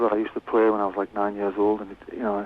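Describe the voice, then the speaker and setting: A man with a Cumbrian accent and a fairly low pitch, over noticeable background noise. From West Cumbria, northern England. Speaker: musician. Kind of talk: radio interview. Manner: halting, many repeated words.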